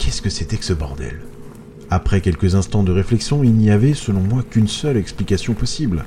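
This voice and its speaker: Moderately paced male speech with ordinary pitch variation, noticeable background noise behind it. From France, Moselle (eastern France). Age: 30s. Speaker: horror podcast narrator. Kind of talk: scripted horror narration.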